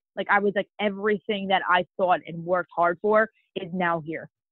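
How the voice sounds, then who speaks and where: Medium-pitched female voice, a normal speaking voice, delivered at a moderate pace. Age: 20s. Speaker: bikini fitness competitor. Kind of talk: interview.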